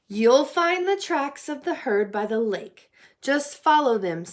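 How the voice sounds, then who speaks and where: Using a put-on character voice, the woman pitches herself high and talks fairly slowly. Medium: read story.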